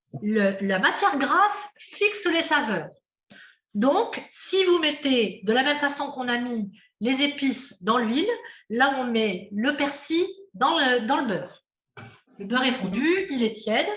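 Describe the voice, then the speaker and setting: A woman's high voice with very wide pitch swings at a very slow pace, amid audible room echo. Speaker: cooking workshop instructor. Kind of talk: cooking class demonstration.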